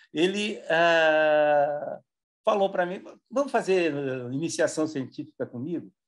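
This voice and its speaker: A man speaks at a fairly slow pace with lively intonation. His pitch sits high for a man. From Brazil, interior of São Paulo state (Marília). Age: 70s. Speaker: retired engineering professor and consultant. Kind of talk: interview.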